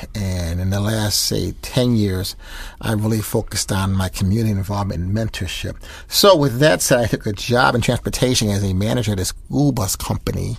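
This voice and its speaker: Somewhat breathy, a man with an American accent speaks at a fairly quick pace in a fairly low pitch with ordinary pitch variation. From Rochester, New York, US. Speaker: jazz saxophonist. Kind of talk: interview. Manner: fast.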